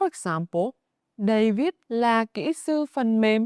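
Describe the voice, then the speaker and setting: Speaking at a very slow pace, a woman uses a fairly high pitch and a Northern Vietnamese accent. The recording is very clean, with a silent background and a dry, close sound with no echo. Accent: Northern Vietnamese (Hanoi) accent in English. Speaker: Vietnamese language teacher. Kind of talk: language lesson narration.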